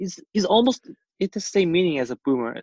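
With a Korean accent, a man speaks at a moderate pace with lively intonation. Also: dry, close sound with no echo. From South Korea. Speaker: podcast co-host. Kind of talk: casual chat.

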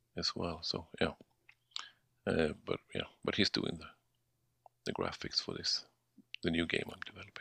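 A man with a Swedish accent speaks at a moderate pace, leaving long, frequent pauses. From Sweden. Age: 40s. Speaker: indie game developer. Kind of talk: casual interview. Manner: halting.

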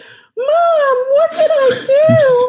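A woman puts on a squeaky, whiny character voice pitched extremely high. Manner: sad, whiny.

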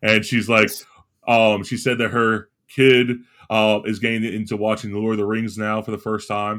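A man with an American accent, fairly low-pitched, in a monotone, flat intonation at a moderate pace. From Florida. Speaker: podcast co-host; teacher. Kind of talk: casual chat.

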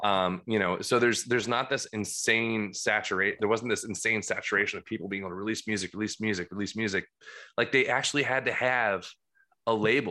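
A man speaks with an American accent and a bright, sharp tone. His intonation is fairly even, and the background is quiet. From New Jersey. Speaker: guitarist. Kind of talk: casual chat. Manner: loud.

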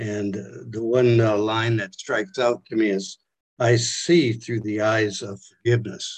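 A plain, everyday voice talks at a fairly slow pace with fairly even intonation. The background is quiet. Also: man, medium pitch for a man. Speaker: study group participant.

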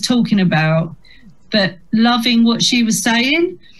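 Here a woman speaks with a Kent accent. Her pitch is fairly high and her pace moderate. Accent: Kent (Medway) English, fairly strong on stage. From Chatham, Kent. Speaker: comedian. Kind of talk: casual interview chat. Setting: video call.

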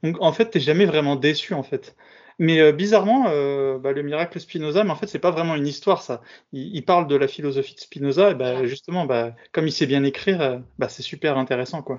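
Fairly quick and fairly high in pitch, a man talks in an ordinary speaking voice with ordinary pitch variation. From Bobigny, Paris suburbs, France. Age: 30s. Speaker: podcast host. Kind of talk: interview.

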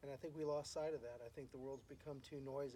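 This man's voice is medium in pitch and somewhat breathy, with a dark, mellow tone and fairly even intonation. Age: 50s. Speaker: musician and real estate agent. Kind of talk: casual chat. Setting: at home.

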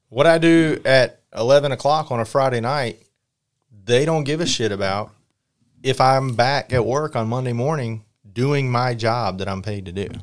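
Recorded very cleanly against a silent background, a man with an unremarkable speaking voice talks at a moderate pace, medium pitch and ordinary pitch variation. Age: 40s. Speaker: RC car racer and team manager. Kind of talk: casual chat. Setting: at a race event.

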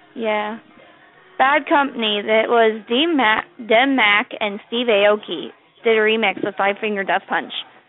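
Music plays in the background. A woman with a fairly high pitch speaks at a fairly slow pace. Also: ordinary pitch variation. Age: 20s. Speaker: caller. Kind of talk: phone call chat.

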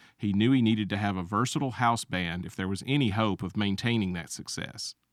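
A man with a fairly low pitch and ordinary pitch variation talks at a fairly quick pace in an unremarkable speaking voice. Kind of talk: scripted radio history segment, narrated like a short documentary. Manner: measured, informative, steady, formal.

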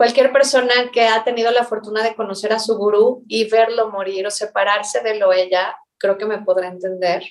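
A woman's fairly high pitch in a normal speaking voice, moderate in pace, with hardly any pauses and fairly even intonation. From Mexico. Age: 40s. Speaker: spiritual teacher. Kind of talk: interview.

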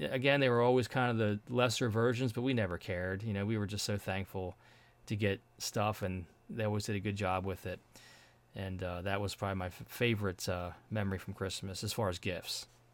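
A man with fairly low pitch, a fairly quick pace, fairly even intonation, and an unremarkable speaking voice. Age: 40s. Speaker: podcast host. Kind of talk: casual chat.

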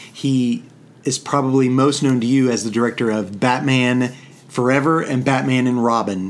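A man in a normal speaking voice, medium in pitch, speaks at a moderate pace with fairly even intonation and very even loudness. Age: 50s. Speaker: podcast co-host, father. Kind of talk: casual chat.

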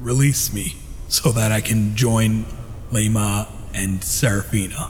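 A man uses a put-on character voice at a medium pitch and a fairly slow pace. Clear background noise is present. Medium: actual play. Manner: solemn, ancient, measured.

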